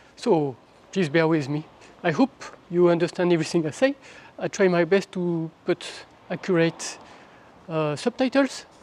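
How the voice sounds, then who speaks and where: Someone with a French accent speaks at a moderate pace, leaving long, frequent pauses. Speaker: travel vlogger. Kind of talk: walking tour vlog narration. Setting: outdoors, walking with handheld camera. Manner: casual, slightly halting.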